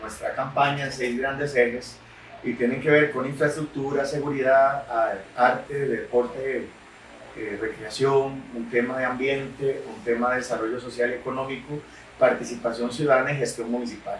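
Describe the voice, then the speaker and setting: Over noticeable background noise and audible room echo, a man speaks at medium pitch and a moderate pace with fairly even intonation. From Costa Rica, Nicoya (Guanacaste). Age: 30s. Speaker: politician, newly elected mayor. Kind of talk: interview.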